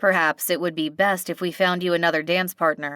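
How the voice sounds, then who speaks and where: A woman growls in a put-on character voice, pitched fairly low, with flat, monotone intonation at a fairly quick pace. The recording is very clean with a silent background and a dry, close sound with no echo. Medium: read story. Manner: formal, stiff.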